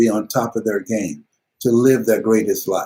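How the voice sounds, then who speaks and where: With an American accent, a man speaks in a dark, mellow tone that is somewhat breathy. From United States. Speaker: motivational speaker. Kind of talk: interview answer.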